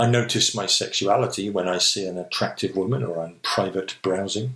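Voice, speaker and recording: A man with an English accent and ordinary pitch variation. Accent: received pronunciation. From England. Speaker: vlogger. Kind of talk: personal essay monologue. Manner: reflective.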